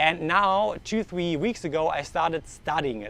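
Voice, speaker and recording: Speaking at a moderate pace with a slight German accent, a man uses lively intonation at a fairly high pitch. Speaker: vlogger. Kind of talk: vlog monologue. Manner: halting.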